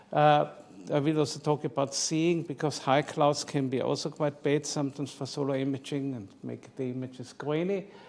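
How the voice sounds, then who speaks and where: A man's fairly high voice with an Austrian accent, ordinary pitch variation and a fairly slow pace. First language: German. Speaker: psychiatrist and amateur astrophotographer. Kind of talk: presentation talk.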